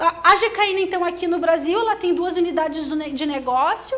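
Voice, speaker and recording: A woman talks at a moderate pace while noticeable background noise carries on around her. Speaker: engineer and industry researcher. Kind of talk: conference presentation. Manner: hesitant, many fillers.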